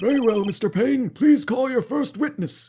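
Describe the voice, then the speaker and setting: Using a put-on character voice, a man speaks with an extremely high pitch, lively intonation and a moderate pace. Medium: game stream. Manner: formal, ponderous.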